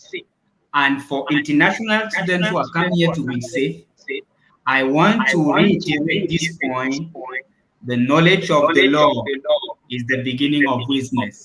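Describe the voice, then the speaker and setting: At a moderate pace, a man with a fairly high pitch and ordinary pitch variation speaks with long, frequent pauses. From Cameroon. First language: French. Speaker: international student. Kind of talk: live stream Q&A interview. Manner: emphatic.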